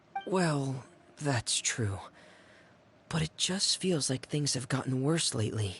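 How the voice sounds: Putting on a character voice, a man speaks slowly with a husky, rough edge and lively intonation. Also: medium pitch for a man, fairly bright tone.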